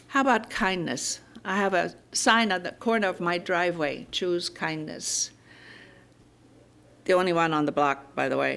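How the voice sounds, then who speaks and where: In a German accent, a woman with a fairly low pitch and lively intonation talks at a moderate pace with long, frequent pauses, on a very clean recording with a silent background. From Germany. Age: 80s+. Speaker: minister. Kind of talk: sermon.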